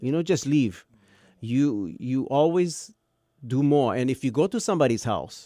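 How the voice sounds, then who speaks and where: A man with a Hawaiian accent talks at a moderate pace in a fairly high pitch, his tone dark and mellow. His intonation is lively, and the recording is very clean with a silent background. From Hawaii, Kauai. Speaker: radio broadcaster. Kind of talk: casual chat.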